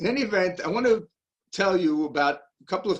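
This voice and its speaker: A man is speaking. He has a Brooklyn accent. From US Northeast, Brooklyn, New York. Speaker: Nazi hunter. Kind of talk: lecture. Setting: video call.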